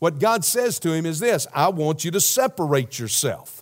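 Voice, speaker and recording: Speaking with a Southern US accent, a man uses a high pitch, lively intonation and an animated tone. He keeps a moderate pace, and the recording is very clean with a silent background. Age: 60s. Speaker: pastor. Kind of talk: sermon. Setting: church.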